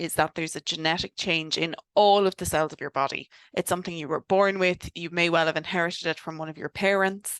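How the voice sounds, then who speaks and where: A woman with an Irish accent talks in a fairly low pitch. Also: quiet background. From Ireland. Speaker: doctor specialising in cancer genetics. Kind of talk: webinar lecture. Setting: online webinar. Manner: casual, many fillers.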